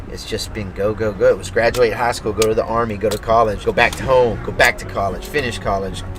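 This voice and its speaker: A man with an American accent at a very fast pace, hardly any pauses, and music in the background. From Texas, Maypearl. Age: 40s. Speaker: country singer-songwriter. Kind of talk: interview. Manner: casual.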